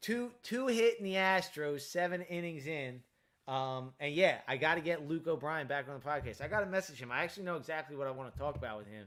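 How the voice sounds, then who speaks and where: A man with a fairly high pitch talks at a very fast pace, his intonation lively and his loudness swinging widely. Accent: American. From Delaware County, Pennsylvania (Philadelphia area). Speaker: streamer and podcast host. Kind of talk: casual live-stream chat. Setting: live stream. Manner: filler-heavy, halting.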